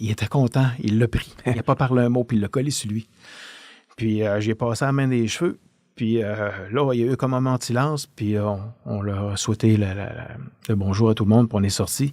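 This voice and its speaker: A man talks at a moderate pace. His voice is medium in pitch, with ordinary pitch variation. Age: 60s. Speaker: retired police officer. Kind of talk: podcast interview, storytelling. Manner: halting, many hesitations.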